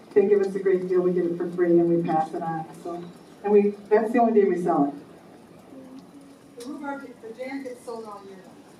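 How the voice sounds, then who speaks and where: Fairly quick delivery broken by long, frequent pauses, with big swings in loudness, ordinary pitch variation, noticeable background noise and audible room echo. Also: woman, medium pitch for a woman. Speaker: society volunteer. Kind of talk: meeting announcement.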